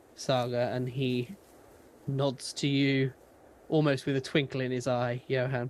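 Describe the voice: With a British accent, a man speaks at a fairly slow pace and medium pitch, his slightly mellow tone showing little pitch movement.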